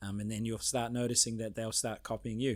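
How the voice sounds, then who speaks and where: Speaking at a medium pitch with a New Zealand accent, the man delivers his words in a flat monotone on a very clean recording with a silent background. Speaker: podcast host. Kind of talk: interview. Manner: fast.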